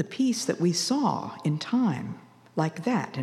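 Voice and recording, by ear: The intonation stays lively while the text is read aloud in a natural voice.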